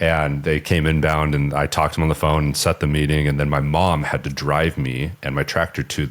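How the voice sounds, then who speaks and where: Over noticeable background noise, a man with a very deep, low pitch talks at a fairly quick pace in a flat monotone, hardly pausing. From Southern California. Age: 30s. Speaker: business owner. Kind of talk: podcast interview. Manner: casual, hesitant with fillers.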